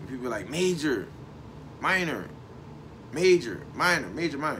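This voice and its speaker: A man's fairly high voice at a moderate pace, lively in intonation, with big swings in loudness and audible room echo. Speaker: online show host. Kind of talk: casual monologue. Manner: frequent pauses while thinking; relaxed.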